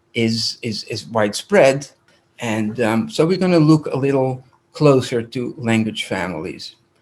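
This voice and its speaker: Speaking at a fairly slow pace, a man with a Dutch accent uses lively intonation at a medium pitch. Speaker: rabbi and language teacher. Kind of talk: lecture.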